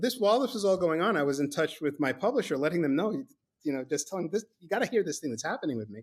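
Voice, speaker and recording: Speaking at a very fast pace, a man with a fairly high pitch and a slight New York accent swings his pitch very widely. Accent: faint New York. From New York (Brooklyn), teens in Mexico City. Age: 60s. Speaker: author. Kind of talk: podcast interview, storytelling. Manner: halting, repeats words.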